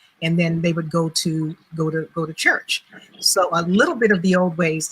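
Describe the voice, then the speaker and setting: Noticeable background noise sits behind a woman with a fairly low pitch. Her delivery is monotone and flat at a moderate pace. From Louisiana, New Iberia. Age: 60s. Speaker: retired professor and genealogist. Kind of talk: interview on a live web show. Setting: live online video broadcast.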